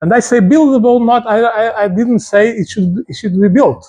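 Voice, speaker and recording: A man speaks at a moderate pace with a Portuguese accent. His pitch is high for a man, and his tone is dark and mellow. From Portugal. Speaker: architecture professor. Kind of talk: lecture. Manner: hesitant, repeats words.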